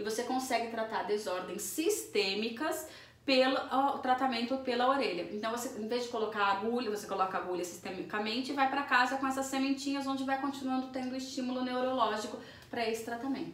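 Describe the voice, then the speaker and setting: Speaking at a fairly quick pace, a woman with a high-pitched voice and ordinary pitch variation is heard over noticeable background noise and audible room echo. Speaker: naturologist. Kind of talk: interview. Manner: fast.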